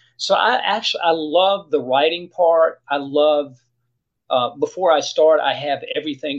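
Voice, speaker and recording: A man with a fairly high pitch speaks with ordinary pitch variation. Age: 60s. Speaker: author and retired judge. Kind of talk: casual chat. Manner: repetitive, halting starts.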